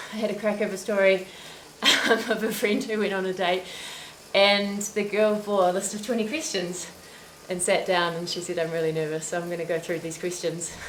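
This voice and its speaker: Speaking at a fairly quick pace with a New Zealand accent, a woman uses a medium pitch and fairly even intonation amid audible room echo and noticeable background noise. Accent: Kiwi. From New Zealand, Christchurch. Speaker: cycling livestream host. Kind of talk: casual chat. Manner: chatty.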